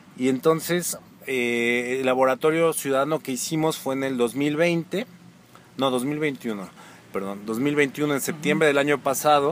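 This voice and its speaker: This man has an ordinary speaking voice with ordinary pitch variation. He speaks fairly slowly. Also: fairly high pitch for a man. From Mexico, Pachuca (Hidalgo). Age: 30s. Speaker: social psychologist. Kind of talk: interview conversation.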